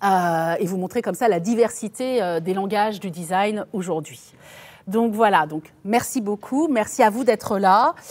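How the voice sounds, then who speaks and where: Her intonation is lively and her pitch sits in the middle range. The woman speaks at a fairly slow pace. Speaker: design professor and lecturer. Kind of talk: lecture.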